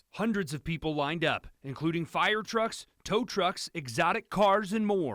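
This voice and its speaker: A man with a high voice speaks at a fairly slow pace, his intonation lively and pauses hardly there, on a very clean recording with a silent background and a dry, close sound with no echo. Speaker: TV news reporter / anchor. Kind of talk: field reporter live shot and package narration.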